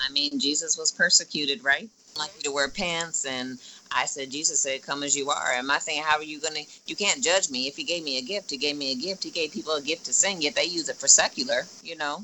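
A woman with a very deep, low pitch talks at a very fast pace with ordinary pitch variation. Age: 40s. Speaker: esthetician and makeup artist. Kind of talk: casual interview.

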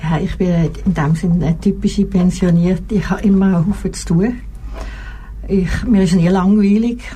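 Noticeable background noise surrounds a woman speaking at a medium pitch. Her pace is moderate and her intonation fairly even. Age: 70s. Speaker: retired nurse. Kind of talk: casual chat. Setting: studio. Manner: halting.

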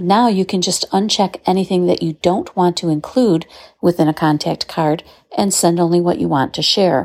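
A woman with an ordinary speaking voice talks at a moderate pace with ordinary pitch variation, in a very clean recording with a silent background and a dry, close sound with no echo. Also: fairly low pitch for a woman. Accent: American. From Southeast Michigan, US. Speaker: listener contributor. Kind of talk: recorded tip.

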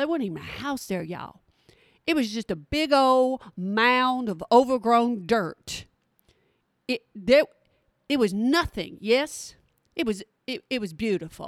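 A woman's high-pitched voice with a Texan accent, animated tone and lively intonation, at a fairly slow pace with long, frequent pauses, in a very clean, dry, close recording with no echo and a silent background. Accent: Texan Southern US. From Texas. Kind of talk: casual chat, podcast monologue. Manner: animated, folksy.

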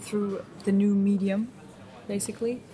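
A woman speaks with a German accent at a medium pitch. Her intonation stays monotone and flat. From East Germany. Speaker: media studies graduate. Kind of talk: casual interview. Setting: restaurant in Berlin. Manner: hesitant, many fillers.

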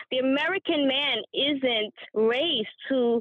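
A high-pitched woman's voice with lively intonation. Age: 40s. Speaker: domestic violence survivor and shelter worker. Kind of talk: testimony.

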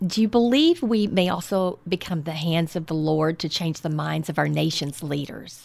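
On a very clean recording with a silent background, a woman with a Texan accent talks at a moderate pace in a fairly low pitch with ordinary pitch variation. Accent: Texan Southern. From Southeast Texas. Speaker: podcast host, health coach. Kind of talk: interview. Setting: on location at church.

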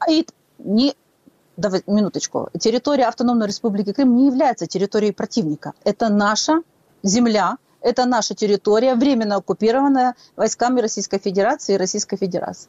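A woman with fairly high pitch talks at a very fast pace. Her loudness stays very even, and her pitch varies an ordinary amount. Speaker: political analyst. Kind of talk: live radio interview.

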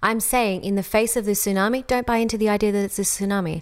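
The speaker has an Australian accent. The recording is very clean, with a silent background. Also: woman. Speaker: podcast host and coach. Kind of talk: solo podcast monologue. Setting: home, beside fireplace.

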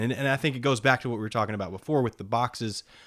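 A man with a medium pitch and ordinary pitch variation speaks in a plain, everyday voice on a very clean recording with a silent background. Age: 30s. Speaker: podcast co-host. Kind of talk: casual chat.

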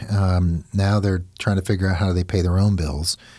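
A man talks with an ordinary speaking voice at a fairly low pitch. His pace is moderate. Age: 50s. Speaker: divorce lawyer and podcast host. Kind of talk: legal advice podcast interview.

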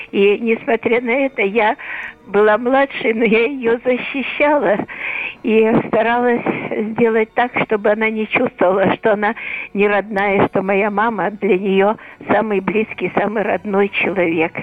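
A fairly high-pitched woman at a fairly slow pace, with fairly even intonation, very even loudness and noticeable background noise. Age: 80s+.

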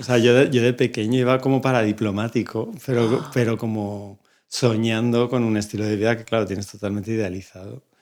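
Speaking at a fairly quick pace with hardly any pauses, a man uses a plain, everyday voice at medium pitch and fairly even intonation in a very clean recording with a silent background. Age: 50s. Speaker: bookbinder. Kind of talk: casual chat. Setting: studio.

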